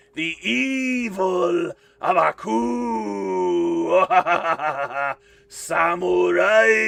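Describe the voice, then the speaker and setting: A man uses a put-on character voice at a medium pitch. He goes at a very slow pace with long, frequent pauses. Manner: menacing, dramatic.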